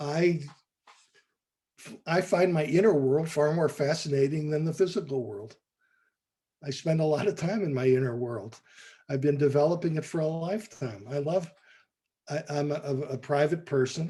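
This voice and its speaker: Somewhat breathy, dark and mellow in tone, with an American accent, a moderate pace, ordinary pitch variation, and long, frequent pauses. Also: man, fairly high pitch for a man. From US Midwest. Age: 70s. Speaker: artist and former art professor. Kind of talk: interview testimony. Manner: halting, with false starts.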